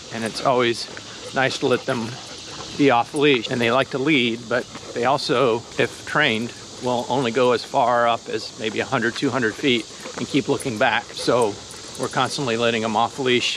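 At a moderate pace, a man speaks with monotone, flat intonation. The sound is dry with no echo, though background noise is noticeable. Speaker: dog owner vlogger. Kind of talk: casual vlog chat. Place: forest. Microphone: phone near.

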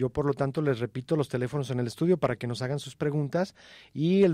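Over a quiet background, a man's dark, mellow voice sits fairly high for a man, with ordinary pitch variation and a dry sound without echo. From Mexico. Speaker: radio co-host. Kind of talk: radio health call-in show. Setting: radio studio. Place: studio.

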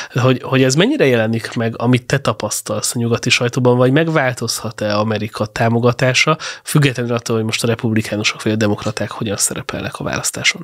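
Talking at a very fast pace with hardly any pauses, this voice shows ordinary pitch variation over a quiet background. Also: man. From Hungary. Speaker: podcast host. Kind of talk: interview. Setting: studio. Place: studio. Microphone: studio mic.

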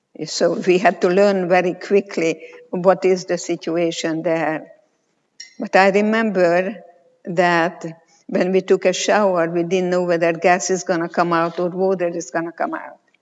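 A woman speaks in a fairly low pitch at a fairly slow pace. Her intonation is monotone and flat. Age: 80s+. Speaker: clinical psychologist and Holocaust survivor. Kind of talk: conference panel answer. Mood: calm, grave storytelling. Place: stage.

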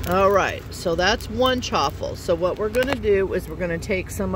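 A woman speaks at a moderate pace. The sound is dry with no echo, though background noise is noticeable. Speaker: trucker cooking vlogger. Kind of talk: tutorial. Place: car. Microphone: phone near.

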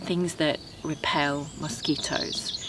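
Noticeable background noise sits under a dry sound with no echo, and the intonation is fairly even. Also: woman. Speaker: home gardener vlogger. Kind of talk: casual vlog chat. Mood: calm, reflective, content. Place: garden.

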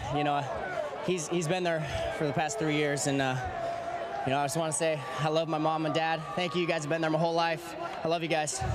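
Through loud background noise, a man talks at a very fast pace broken by long, frequent pauses. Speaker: college baseball player. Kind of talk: postgame interview. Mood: emotional, joyful after win. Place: stadium. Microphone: handheld.

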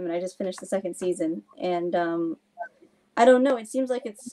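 A woman's dark, mellow tone with ordinary pitch variation. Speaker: sociology researcher; festival team member on panel. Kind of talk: panel discussion. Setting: video call. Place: home room. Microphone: video call.

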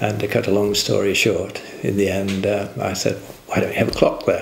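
With an English accent, a man talks at a moderate pace amid light background noise and audible room echo. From England. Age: 70s. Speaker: inventor. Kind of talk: interview answer. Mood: warm, amused, storytelling. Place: home room. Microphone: lapel.

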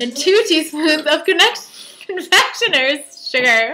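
A woman speaks in a raised, projected voice with lively intonation at a moderate pace. Noticeable background noise is present. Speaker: home cooking vlogger. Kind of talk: casual cooking tutorial. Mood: cheerful, laughing. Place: kitchen. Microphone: webcam.

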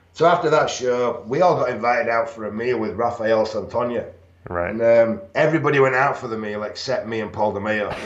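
With audible room echo, a man in a northern English accent talks at a fairly quick pace with ordinary pitch variation. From northern England. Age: 50s. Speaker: retired bodybuilder and pro wrestler; interview guest. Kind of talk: interview. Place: home room. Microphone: video call.

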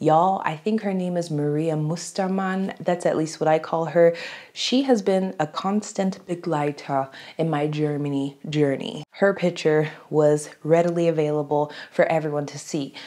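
A woman with a very deep, low pitch and an American accent, animated in tone, at a moderate pace with ordinary pitch variation, against a quiet background. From United States. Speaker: YouTuber. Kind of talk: casual vlog talk to camera. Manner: chatty, animated. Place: home room.

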